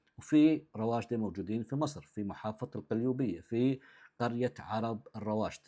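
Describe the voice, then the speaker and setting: Man with a dark, mellow tone against a quiet background. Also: medium pitch for a man, ordinary pitch variation, moderate pace. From southern Jordan (Shobak). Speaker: content creator. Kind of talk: direct-to-camera talk answering comments.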